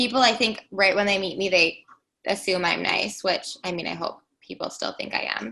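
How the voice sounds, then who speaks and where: In a bubbly tone, the voice moves at a moderate pace with ordinary pitch variation. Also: woman. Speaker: podcast co-host. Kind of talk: casual chat.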